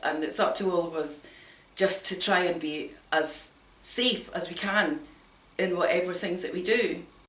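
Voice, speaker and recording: A woman with a fairly low pitch is heard amid noticeable background noise and audible room echo. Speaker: hill walker vlogger. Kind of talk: personal account to camera.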